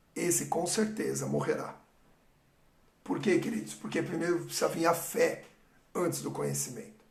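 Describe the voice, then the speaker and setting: Speaking at a moderate pace with long, frequent pauses, a man is heard against audible room echo. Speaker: pastor. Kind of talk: sermon. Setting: livestream.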